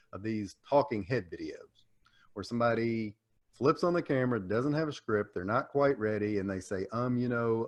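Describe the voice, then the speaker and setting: This man's pace is moderate. He talks in a Southern US accent. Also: quiet background. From US South, Tennessee. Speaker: small business coach and explainer video maker. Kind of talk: podcast interview.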